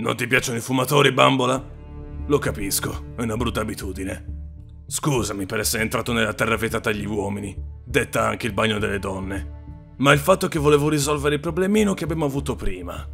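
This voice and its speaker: A cartoonish character voice with very wide pitch swings at a fairly quick pace, clear music in the background. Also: man, medium pitch for a man. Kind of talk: noir gangster talk. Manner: smooth, menacing, sly.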